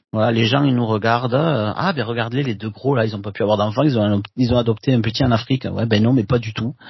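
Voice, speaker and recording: Somewhat breathy, a man talks at a very fast pace with fairly even intonation. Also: medium pitch for a man. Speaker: podcast co-host, columnist. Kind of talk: casual chat; scripted narration.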